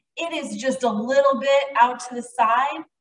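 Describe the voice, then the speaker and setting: With audible room echo around her, a woman speaks fairly slowly. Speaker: fitness instructor. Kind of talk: workout class instruction. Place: gym.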